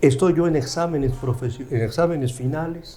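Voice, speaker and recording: A man at a moderate pace with ordinary pitch variation, audible room echo and noticeable background noise. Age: 70s. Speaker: law professor. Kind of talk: interview storytelling.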